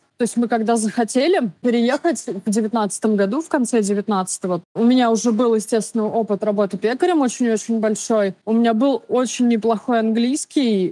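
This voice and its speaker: A woman speaks at a fairly quick pace with hardly any pauses, her fairly high-pitched voice carrying a dark, mellow tone and ordinary pitch variation. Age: 30s. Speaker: baker, immigrant. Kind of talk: interview.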